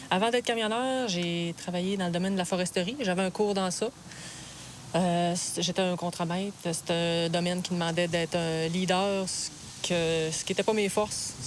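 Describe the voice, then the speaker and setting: An ordinary speaking voice, fairly even in intonation, at a moderate pace. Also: woman, fairly low pitch for a woman. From Quebec, Lac-Saint-Jean then Quebec City. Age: 30s. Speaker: truck driver. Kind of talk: documentary interview.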